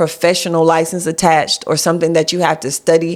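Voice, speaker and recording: A woman with an ordinary speaking voice, fairly low in pitch, at a fairly quick pace. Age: 40s. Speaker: life insurance agent and business coach. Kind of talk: casual chat. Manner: explanatory, conversational.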